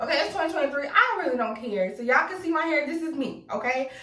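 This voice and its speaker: Over noticeable background noise, a woman speaks at a high pitch in a raised, projected voice. She goes at a very fast pace with very wide pitch swings. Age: 20s. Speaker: beauty YouTuber. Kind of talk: tutorial. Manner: casual, animated.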